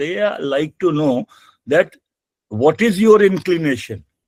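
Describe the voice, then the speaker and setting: A man talks at a fairly slow pace. The sound is dry and close, with no echo. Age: 60s. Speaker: environmental auditor and webinar speaker. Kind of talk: webinar presentation. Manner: halting, many fillers.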